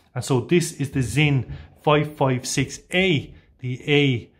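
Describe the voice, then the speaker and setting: A somewhat breathy man with an Irish accent and ordinary pitch variation. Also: very clean recording, silent background. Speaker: watch reviewer, channel owner. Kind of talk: product review. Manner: casual, hesitant with fillers.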